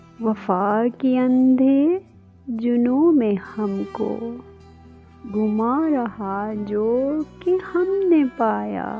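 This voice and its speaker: Music plays in the background behind speech with lively intonation. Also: woman, fairly high pitch for a woman. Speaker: poetry reader. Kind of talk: Urdu poetry reading.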